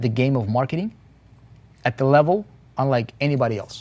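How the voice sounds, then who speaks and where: Someone with a non-native accent talks at a fairly quick pace. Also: man. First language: not English. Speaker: internet marketing coach. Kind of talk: live motivational webinar. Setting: live stream. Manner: animated.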